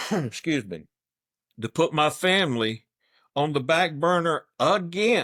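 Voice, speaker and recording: Fairly slow, long-pausing speech from a man in a South Carolina accent, fairly high in pitch with a bright, sharp tone, on a very clean recording with a silent background. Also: lively intonation. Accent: Southern US (South Carolina). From US South, Anderson County, South Carolina. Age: 60s. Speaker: political candidate. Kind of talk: interview.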